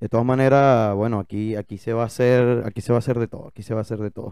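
A man talks at a very fast pace in a dark, mellow tone. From Venezuela, Maracaibo. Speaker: podcast co-host. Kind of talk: casual chat. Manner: animated.

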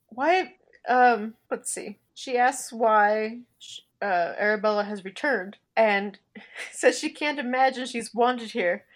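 Speaking at a very slow pace, a woman with an American accent has a fairly high voice, ordinary pitch variation, and big swings in loudness. The recording is very clean with a silent background. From US, Oregon. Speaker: podcast co-host, book reviewer. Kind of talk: casual chat.

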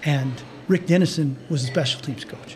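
Recorded with audible room echo and noticeable background noise, a man with an American accent speaks with ordinary pitch variation. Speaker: orthopedic surgeon. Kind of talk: interview conversation.

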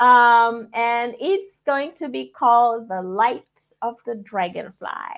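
A woman's high-pitched voice with lively intonation, a very slow pace and hardly any pauses. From Fiji. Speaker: international school leader. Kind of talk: interview. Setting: video call.

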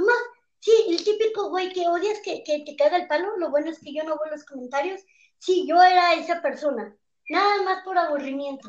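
A woman with a Mexican accent and an extremely high voice talks at a moderate pace, with ordinary pitch variation and big swings in loudness. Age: 20s. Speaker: stand-up comedian. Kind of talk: casual chat. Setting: video call.

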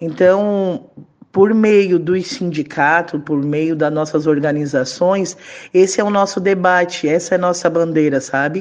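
Here is an ordinary speaking voice from a woman with a fairly low pitch. She goes at a fairly slow pace with ordinary pitch variation. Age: 30s. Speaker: trade unionist. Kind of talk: interview.

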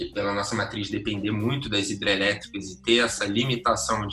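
A man at a fairly low pitch and a fairly quick pace, with noticeable background noise. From Brazil, Rio de Janeiro. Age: 20s. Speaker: economist, NGO director. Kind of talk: interview.

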